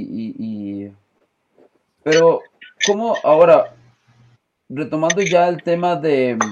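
This man speaks at a fairly high pitch. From Costa Rica. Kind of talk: casual discussion. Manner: hesitant, uses eh and este fillers.

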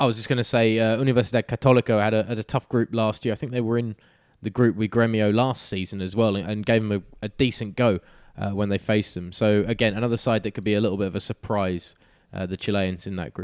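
A man with an English accent talks at a very fast pace, and the sound is dry and close with no echo. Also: fairly low pitch for a man. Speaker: football podcast host. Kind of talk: casual chat. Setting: Skype call.

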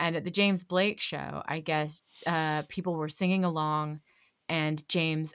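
A woman with a Californian accent speaks in a very deep, low voice with monotone, flat intonation, in a very clean recording with a silent background. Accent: American, Californian. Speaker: actor, comedian and voiceover artist. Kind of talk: casual chat.

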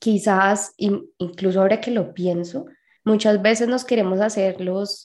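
A woman with a Colombian accent and a dark, mellow tone at a very slow pace. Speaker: podcast co-host. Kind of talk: casual chat.

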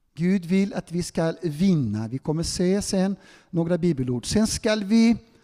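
At a very slow pace, a man speaks in a high voice. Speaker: preacher. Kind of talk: sermon. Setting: church hall with audience, also streamed on Zoom. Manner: animated.

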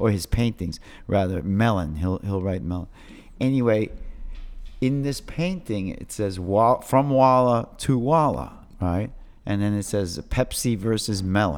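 A man with a New York accent speaks at a fairly low pitch with lively intonation. The recording is very clean, the background silent. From New York City, Lower East Side. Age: 50s. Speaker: graffiti artist. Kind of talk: casual interview chat. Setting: in person. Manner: halting, many repetitions.

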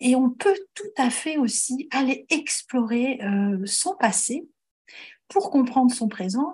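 Here a woman speaks with a high pitch. Her intonation is lively. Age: 50s. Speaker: astrologer. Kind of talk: interview.

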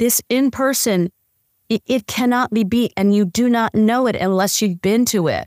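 In a very clean recording with a silent background and a dry, close sound with no echo, a woman with a normal speaking voice and an American accent talks at a moderate pace with a fairly high pitch, fairly even intonation and very even loudness. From Phoenix area, US. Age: 60s. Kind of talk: casual interview chat. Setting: video recording.

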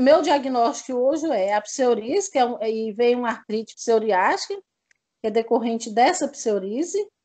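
Lively intonation marks this woman's high-pitched voice as she speaks at a fairly slow pace. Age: 40s. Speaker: fibromyalgia patient. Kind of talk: testimony. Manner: halting.

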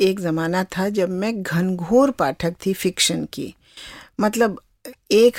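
This is a very clean recording with a silent background and a dry, close sound with no echo. A woman speaks at a medium pitch with ordinary pitch variation. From Kumaon, Uttarakhand (Nainital). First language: Kumaoni (speaking Hindi). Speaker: translator and author. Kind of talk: interview conversation.

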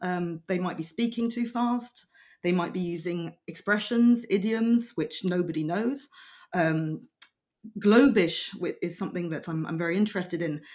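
A woman's voice in a British accent with ordinary pitch variation. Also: medium pitch for a woman, moderate pace. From Belgium and UK. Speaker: freelance translator. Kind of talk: casual chat.

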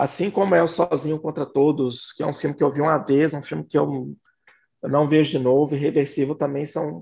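A man speaks in a fairly high voice with a dark, mellow tone and vocal fry. His intonation stays fairly even. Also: moderate pace. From Belo Horizonte, Minas Gerais, Brazil. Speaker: horror film critic. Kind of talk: casual chat.

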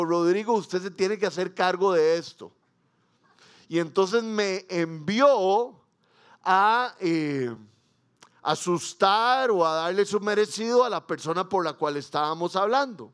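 A man with a high voice speaks at a fairly slow pace with ordinary pitch variation, in a very clean recording with a silent background. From Costa Rica. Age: 40s. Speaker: pastor. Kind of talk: sermon.

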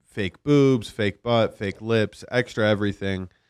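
A normal speaking voice at a fairly slow pace, in a dry, close sound with no echo. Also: man. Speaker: podcast producer. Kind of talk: casual chat. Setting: studio.

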